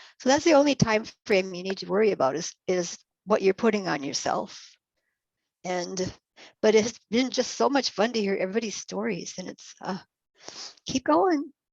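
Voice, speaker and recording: Vocal fry runs through speech delivered at a moderate pace, with very wide pitch swings. Loudness rises and falls sharply, and long pauses come often. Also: woman, medium pitch for a woman. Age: 70s. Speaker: workshop participant. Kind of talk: casual chat.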